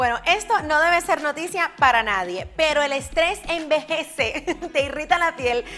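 A woman's raised, projected voice, high in pitch and upbeat in tone, at a moderate pace with faint music in the background. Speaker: radio host, speaker and business coach. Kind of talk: advice tips to camera. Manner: upbeat, friendly, conversational. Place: studio. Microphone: lapel.

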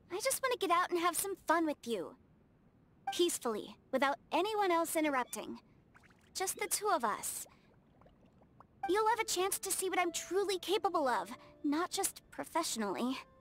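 A woman uses a put-on character voice, extremely high in pitch and fairly bright, with big pitch swings. She talks at a moderate pace with long, frequent pauses.

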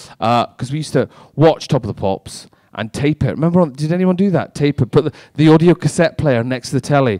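A man is speaking fairly quickly. Everything around him is quiet. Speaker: stand-up comedian. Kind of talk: stand-up comedy with crowd work. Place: stage. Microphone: handheld.

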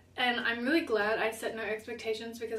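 A woman talking at a fairly quick pace, with audible room echo. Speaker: travel vlogger. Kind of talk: casual vlog chat. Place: home room.

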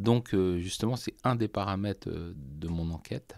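A man at a fairly low pitch, very slow pace and ordinary pitch variation, in a very clean recording with a silent background. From France, Loiret (Artenay). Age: 50s. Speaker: violin maker. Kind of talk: interview. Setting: workshop. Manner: halting.

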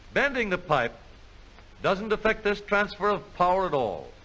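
A man with a high voice speaks at a moderate pace, raised and projected, with lively intonation. His tone is bright and sharp, confident and upbeat. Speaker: educational film narrator. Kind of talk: 1950s educational film narration, scripted and authoritative. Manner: brisk, formal, confident announcer delivery; upbeat, patriotic, salesman-like tone.

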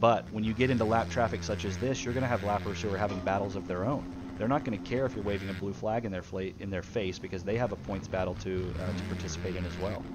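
Talking at a very fast pace with hardly any pauses, a man has an animated tone and ordinary pitch variation over noticeable background noise. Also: fairly low pitch for a man. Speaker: race commentator. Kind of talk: live sports commentary on a gaming race stream. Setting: stream commentary booth. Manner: animated, fast play-by-play, calling out riders and positions.

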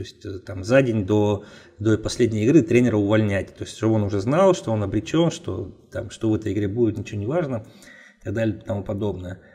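A man's medium-pitched, somewhat breathy voice with a dark, mellow tone at a very fast pace. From Russia, Nizhny Tagil. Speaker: football analyst. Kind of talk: casual chat.

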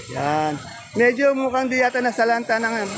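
This man talks in a high voice at a fairly quick pace while noticeable noise carries on in the background. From Philippines. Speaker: market vlogger. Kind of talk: vlog with market price interviews. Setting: outdoors at a vegetable trading market. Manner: friendly, polite.

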